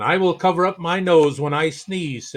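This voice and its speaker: A man puts on a character voice pitched high for a man. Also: moderate pace. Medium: read story. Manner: roaring.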